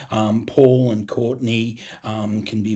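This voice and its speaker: This man speaks with an Australian accent. His intonation stays fairly even. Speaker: financial educator, former accounting partner. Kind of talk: webinar presentation. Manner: casual, filler-heavy.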